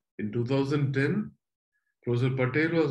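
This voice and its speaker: A man talks with a somewhat breathy voice and fairly even intonation. The background is quiet. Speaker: host introducing a guest speaker. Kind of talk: formal introduction. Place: home room. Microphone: webcam.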